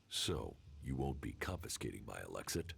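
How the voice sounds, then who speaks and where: A man puts on a character voice, pitched very deep and low, and keeps to a moderate pace. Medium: video game. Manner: terse, flat.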